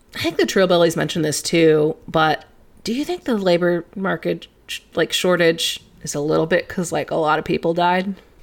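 A woman with an American accent talks in an ordinary speaking voice, fairly low in pitch, at a moderate pace with ordinary pitch variation. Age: 20s. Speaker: podcast co-host and office worker. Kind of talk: casual chat.

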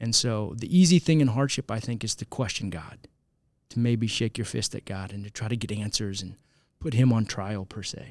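A man with an American accent uses an ordinary speaking voice at a medium pitch and moderate pace. His pitch variation is ordinary, while his loudness swings widely. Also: very clean recording, silent background. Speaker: spiritual life director, youth minister, guest. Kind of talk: casual interview discussing theology.

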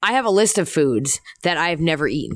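The background is silent on this very clean recording. A woman with an American accent talks with lively intonation. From US Northeast, Philadelphia. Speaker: professional wrestler. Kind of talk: casual chat. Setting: in a room at a wrestling show.

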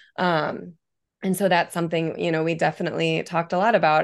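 Over a quiet background, a woman with an American accent speaks at a fairly quick pace in a fairly low pitch, monotone and flat, with vocal fry. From US Midwest, rural Illinois. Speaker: hockey coach's wife. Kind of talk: casual chat.

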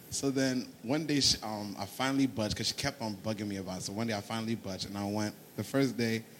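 In an American accent, a man with a medium pitch and ordinary pitch variation talks very fast with hardly any pauses. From Ghanaian family, New Jersey. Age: 20s. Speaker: church member. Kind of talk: casual interview, testimony.

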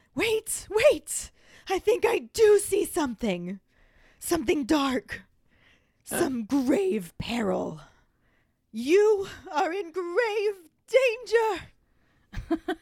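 An extremely high-pitched, put-on character voice, breathy and dramatic in tone, at a very slow pace with long, frequent pauses. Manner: mystical, dramatic.

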